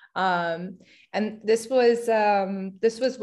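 A woman with a New Jersey accent and ordinary pitch variation, set against a quiet background. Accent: American, New Jersey. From US Northeast, New Jersey. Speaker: architecture student and material designer. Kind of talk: interview.

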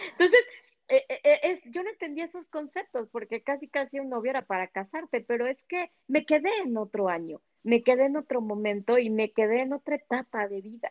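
A woman speaks high in pitch, with very wide pitch swings. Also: moderate pace. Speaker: former nun. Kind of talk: casual chat. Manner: halting.

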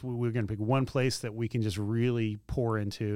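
The recording is very clean, with a silent background. A man speaks very fast at a fairly low pitch with fairly even intonation. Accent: Tennessee. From Middle Tennessee (Spring Hill). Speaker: campus pastor. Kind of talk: casual interview. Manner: halting, many repetitions and fillers.

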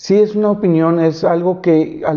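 Here a man talks at a moderate pace with a high pitch and fairly even intonation. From Monterrey, northern Mexico. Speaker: YouTuber. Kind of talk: solo video podcast monologue. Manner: halting, many fillers.

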